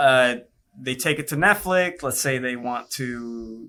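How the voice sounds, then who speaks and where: A man with a Spanish accent talks at a fairly slow pace, at medium pitch with ordinary variation. His tone is bright and sharp, and the recording is very clean with a silent background. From Puerto Rico. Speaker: virtual production studio executive. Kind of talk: podcast interview. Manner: casual, conversational.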